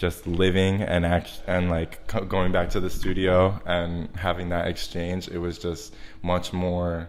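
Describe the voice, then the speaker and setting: A man with an American accent and a very deep, low pitch, fairly slow and monotone, with music in the background and audible room echo. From US Northeast, Long Island, New York. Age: 20s. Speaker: artist. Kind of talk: interview. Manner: casual, many fillers and restarts.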